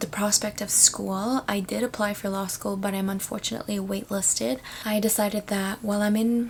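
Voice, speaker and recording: A woman speaks with a Canadian accent. She is soft-spoken. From Canada, Toronto (immigrated from Philippines at about 10). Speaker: vlogger. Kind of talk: casual chat. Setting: at home, at night.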